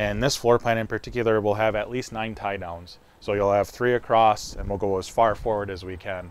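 This man has a normal speaking voice, fairly low in pitch, with fairly even intonation at a moderate pace. The sound is dry, with no echo. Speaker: presenter. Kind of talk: product walkthrough presentation. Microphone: lapel.

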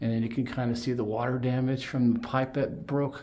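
A moderate pace with very even loudness and a monotone, flat delivery. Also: man. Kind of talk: casual vlog chat. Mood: annoyed, sarcastic complaints. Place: home room. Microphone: phone near.

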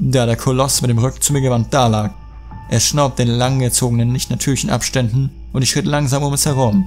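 A man talking at a fairly quick pace with ordinary pitch variation, music in the background. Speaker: creepypasta narrator. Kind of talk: horror story reading.

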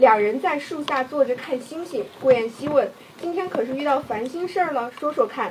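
With hardly any pauses, a woman speaks at a moderate pace in a high pitch, her intonation lively and her tone animated, with big swings in loudness over noticeable background noise. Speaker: livestream host. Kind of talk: hosting a promotional live stream. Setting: live stream studio. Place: studio.

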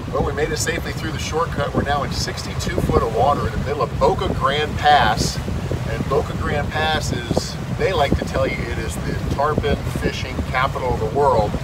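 Loud background noise runs under a man speaking at a moderate pace. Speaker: boat skipper vlogger. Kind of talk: casual vlog chat. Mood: relaxed, joking. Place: boat. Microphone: phone near.

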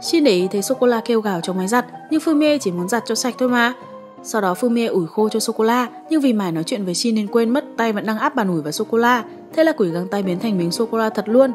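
A woman talks at a very fast pace with lively intonation. Music plays in the background. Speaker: recap narrator. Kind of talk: storytelling narration.

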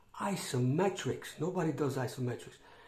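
A man talks at a fairly slow pace, with ordinary pitch variation. Some room echo is audible. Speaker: fitness vlogger. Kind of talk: casual vlog chat. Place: home room. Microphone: phone near.

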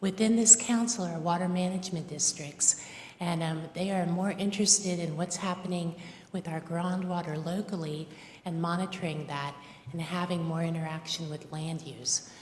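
Amid noticeable background noise, a woman with a fairly low pitch talks at a moderate pace with fairly even intonation. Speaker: public commenter. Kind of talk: public comment at county meeting. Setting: county commission board room. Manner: hesitant with fillers.

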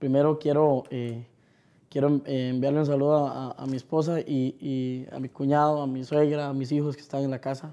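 Fairly high male voice with a dark, mellow tone, monotone, flat intonation and a moderate pace. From Costa Rica, Los Santos area. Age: 30s. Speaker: singer. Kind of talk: interview. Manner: halting, many fillers.

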